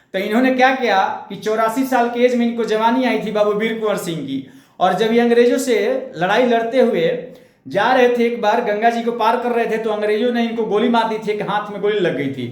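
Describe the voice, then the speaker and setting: A man's animated, high-pitched voice with ordinary pitch variation, a moderate pace and audible room echo. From India, Bhojpuri region (Bihar/eastern UP). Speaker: history teacher. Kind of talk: lecture.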